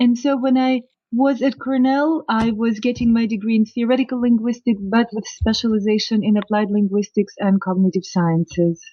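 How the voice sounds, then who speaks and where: Speaking at a moderate pace with hardly any pauses, a woman with a Russian accent has a fairly high pitch, ordinary pitch variation, and very even loudness. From Soviet Union. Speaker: professor of linguistics. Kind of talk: interview.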